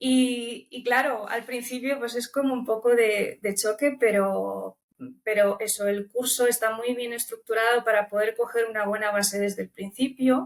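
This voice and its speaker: In a Romanian accent, a woman with a fairly high pitch speaks at a fairly slow pace with monotone, flat intonation. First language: Romanian (speaking Spanish). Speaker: language student. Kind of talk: interview. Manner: hesitant, with filler repetitions.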